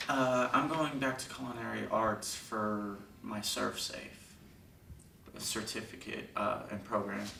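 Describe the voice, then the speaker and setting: This man talks with long, frequent pauses at a fairly low pitch and ordinary pitch variation, with noticeable background noise behind him. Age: young. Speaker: juvenile prison inmate. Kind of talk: release hearing statement.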